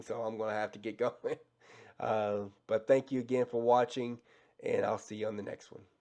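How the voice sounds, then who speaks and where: A man puts on a raspy character voice at a medium pitch and a moderate pace. His intonation stays monotone and flat while his loudness swings widely. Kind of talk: casual, friendly.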